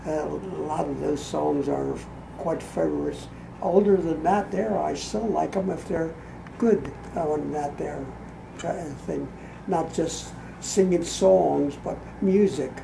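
A man speaks fairly slowly, with long, frequent pauses. Noticeable background noise can be heard. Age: 80s+. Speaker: elderly grandfather; grandfather reviewing a gift. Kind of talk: casual chat. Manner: halting. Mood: warm, relaxed, reminiscing. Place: home room. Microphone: camera far.

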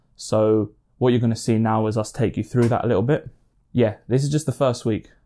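A man talks in a dark, mellow tone with quiet behind him. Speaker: boxing vlogger. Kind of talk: casual vlog chat. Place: home room.

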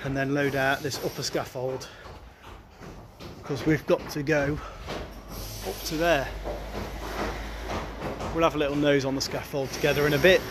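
Fairly even intonation at a moderate pace, with noticeable background noise. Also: man. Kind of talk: casual vlog chat. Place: street. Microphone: phone near.

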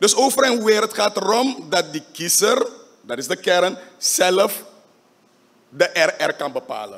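Speaking at a very slow pace, a man uses a high pitch and lively intonation. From Suriname. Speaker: parliamentary faction leader. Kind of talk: parliamentary debate speech. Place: hall. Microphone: podium.

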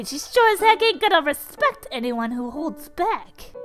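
Clear music plays behind a put-on character voice at an extremely high pitch. It moves at a moderate pace with very wide pitch swings. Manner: brash, boastful, tough-talking.

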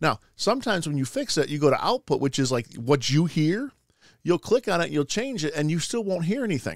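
The man talks at a fairly quick pace. His fairly high pitch rises and falls in big swings.

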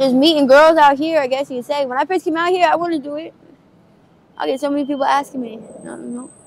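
A woman talks at a very fast pace in a high pitch with ordinary pitch variation and big swings in loudness. The sound is dry with no echo, over light background noise. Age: 20s. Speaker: person living on the street with addiction; street interview subject. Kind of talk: street interview. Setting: outdoors on the street. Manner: halting. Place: street. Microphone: phone near.

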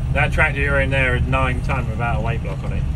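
A man speaks at a fairly quick pace over loud background noise. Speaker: tractor driver. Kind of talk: casual banter while driving. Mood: jokey, light-hearted. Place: farm machine. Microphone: phone near.

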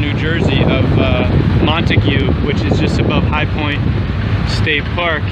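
The sound is dry with no echo. Loud background noise runs throughout. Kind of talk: casual vlog chat. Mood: relaxed, reflective. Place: boat. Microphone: phone near.

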